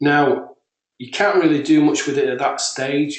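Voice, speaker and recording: A man with a British accent speaks in a room with audible echo. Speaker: software creator. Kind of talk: tutorial. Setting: webinar.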